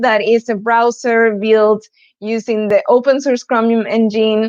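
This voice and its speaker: Her pitch is high. The woman speaks at a fairly slow pace. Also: quiet background. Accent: Argentine. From Argentina, Buenos Aires. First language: Spanish. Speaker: developer advocate, conference speaker. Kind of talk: conference talk. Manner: hesitant, with fillers.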